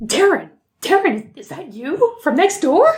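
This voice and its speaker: A woman puts on a character voice at an extremely high pitch with very wide pitch swings. Her pace is fairly slow. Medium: actual play. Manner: folksy, friendly.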